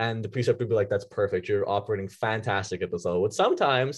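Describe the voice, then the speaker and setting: Somewhat breathy, a man talks at a very fast pace with a Canadian accent. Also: quiet background. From Ontario, Canada (Vaughan). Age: 20s. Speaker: medical student. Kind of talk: casual interview.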